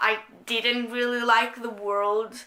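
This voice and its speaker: A woman with a non-native accent speaks in a high voice at a fairly slow pace. Background noise is noticeable. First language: not English. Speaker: book reviewer. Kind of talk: casual talk to camera.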